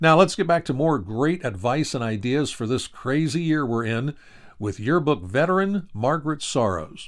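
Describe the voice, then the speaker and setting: A man at a fairly high pitch and moderate pace, with lively intonation, in a very clean recording with a silent background. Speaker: podcast host and yearbook company representative. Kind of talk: podcast interview. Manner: animated.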